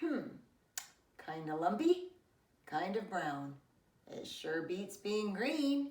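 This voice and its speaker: A woman puts on a character voice at a medium pitch with very wide pitch swings, speaking at a very slow pace with long, frequent pauses and a slight echo. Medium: read story.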